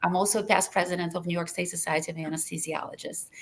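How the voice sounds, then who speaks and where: With a Russian accent, a woman talks at a medium pitch. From Lithuania, Russian-speaking; US from age 15. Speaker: anesthesiology professor. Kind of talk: webinar panel discussion.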